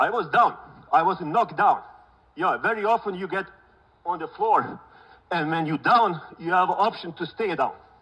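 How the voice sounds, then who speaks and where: A man's high-pitched voice with a bright, sharp tone and a non-native accent, at a moderate pace with ordinary pitch variation and long, frequent pauses. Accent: foreign. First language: not English. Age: 50s. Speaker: real estate broker. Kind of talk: keynote speech.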